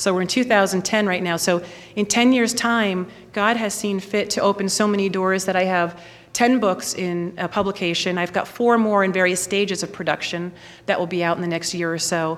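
In an American accent, a normal speaking voice goes at a moderate pace with fairly even intonation. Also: woman, medium pitch for a woman. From New York. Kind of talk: testimony.

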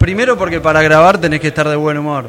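There is noticeable background noise. A man speaks at a fairly high pitch with ordinary pitch variation. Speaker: podcaster. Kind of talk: live panel interview. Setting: stage with audience.

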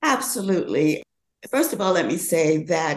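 A woman with a normal speaking voice, fairly low pitch, ordinary pitch variation and a moderate pace. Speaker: fashion model and age activist. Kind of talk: casual interview chat.

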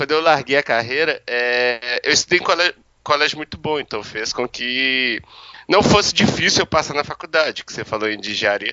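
Using a plain, everyday voice, a man talks at a moderate pace and medium pitch with ordinary pitch variation. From Minas Gerais, Brazil. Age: 30s. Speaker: professional poker player. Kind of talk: interview.

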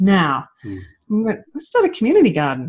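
A woman with an Australian accent has a fairly high pitch and vocal fry. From Australia (Victoria suburbs). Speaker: permaculture teacher and designer. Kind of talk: casual chat. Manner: fast.

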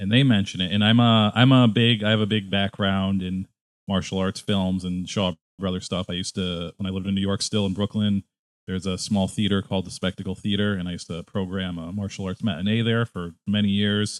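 Fairly low in pitch, a man with an American accent speaks with monotone, flat intonation. His pace is fairly quick. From Connecticut. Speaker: podcast host. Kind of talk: casual chat.

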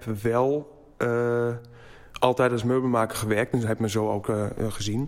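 At a very slow pace, a man speaks in a flat monotone at medium pitch with very even loudness. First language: German (speaking Dutch). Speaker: furniture maker. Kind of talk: interview. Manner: halting.

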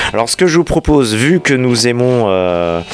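There is music in the background as a man speaks at a medium pitch. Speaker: radio host. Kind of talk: radio DJ patter, chatty music-show presenting. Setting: radio studio. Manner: relaxed, conversational, slightly halting; upbeat and enthusiastic, with jingles and song intros.

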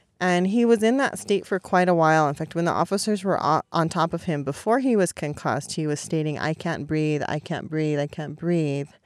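In a very clean recording with a silent background, a woman with a plain, everyday voice and an American accent talks at a fairly quick pace with hardly any pauses and ordinary pitch variation. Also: fairly low pitch for a woman. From California. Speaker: protest medic organizer. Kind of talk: podcast interview. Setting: outdoors at a protest camp.

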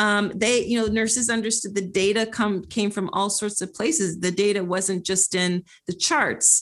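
A woman's plain, everyday voice with an American accent, medium pitch, ordinary pitch variation and very even loudness, at a moderate pace with hardly any pauses over a quiet background. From Philadelphia, US. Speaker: creativity strategist and author. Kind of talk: interview conversation.

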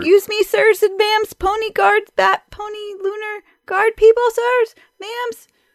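Someone shouts in a put-on character voice at a moderate pace. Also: woman, extremely high pitch for a woman. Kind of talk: polite and formal. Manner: shouting.

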